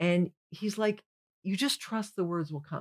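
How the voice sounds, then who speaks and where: An unremarkable speaking voice from a woman at medium pitch, with ordinary pitch variation. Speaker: comedian. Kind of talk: casual chat.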